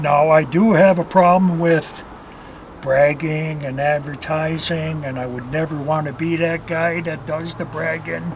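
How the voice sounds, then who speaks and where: Over noticeable background noise, a man with a fairly high pitch talks at a fairly slow pace with fairly even intonation. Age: 60s. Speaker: carp angler. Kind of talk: interview.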